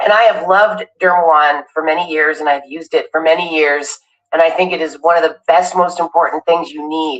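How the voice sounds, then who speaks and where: A plain, everyday voice from a woman, fairly low in pitch, at a fairly quick pace with fairly even intonation. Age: 60s. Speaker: live streamer. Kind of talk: product demonstration. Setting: live stream.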